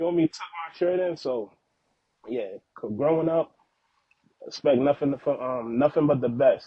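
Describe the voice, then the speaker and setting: Long pauses come often in this moderately paced speech, with ordinary pitch variation. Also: man, fairly high pitch for a man. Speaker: father, podcast guest. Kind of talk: casual interview chat.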